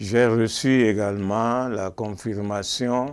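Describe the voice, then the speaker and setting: The intonation holds fairly even. It belongs to a man. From Benin, Porto-Novo. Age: 70s. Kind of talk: testimony interview.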